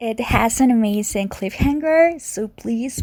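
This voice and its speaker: A woman's fairly high voice in a Spanish accent, at a very slow pace, on a very clean recording with a silent background. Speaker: video game podcaster. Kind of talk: casual solo podcast summary. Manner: halting, stuttering; laughs often.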